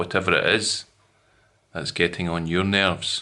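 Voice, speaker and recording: A man with a Scottish accent speaks at a fairly slow pace in a bright, sharp tone. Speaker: English teacher. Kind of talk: educational lesson to camera.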